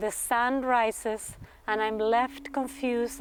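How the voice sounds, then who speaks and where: Speaking at a fairly slow pace, a woman with a Spanish accent has a high-pitched voice. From Argentina. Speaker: performance artist and graduate student. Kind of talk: reading aloud a thesis presentation. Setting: graduate talks event.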